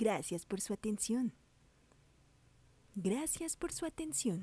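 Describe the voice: Very slow and somewhat breathy, a woman's fairly high voice has a dark, mellow tone and very wide pitch swings.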